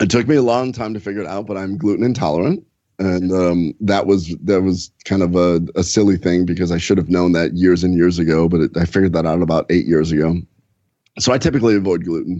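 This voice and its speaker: This man's voice is very deep and low, with ordinary pitch variation. He speaks at a very fast pace. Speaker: gastroenterologist. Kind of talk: podcast interview. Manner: enthusiastic.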